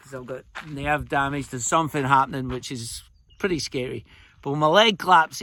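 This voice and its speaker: A man speaks in a Scottish accent at a fairly quick pace, his tone bright and sharp. The recording is very clean, with a silent background. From Scotland. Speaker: storyteller, traveller.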